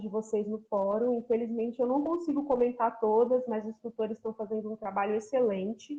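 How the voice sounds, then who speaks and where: A woman speaks in an interior São Paulo accent. Her voice is fairly high, with fairly even intonation. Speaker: university geography professor. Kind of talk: online lecture.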